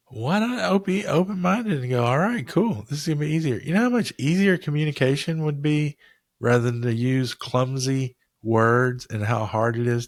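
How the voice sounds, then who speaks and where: A man talks with lively intonation in a very clean recording with a silent background. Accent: Southern US. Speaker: podcast co-host. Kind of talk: casual chat.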